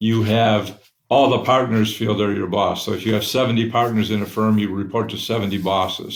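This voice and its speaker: An American accent at a moderate pace, fairly even in intonation, with audible room echo. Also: man. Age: 70s. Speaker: company founder. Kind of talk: interview.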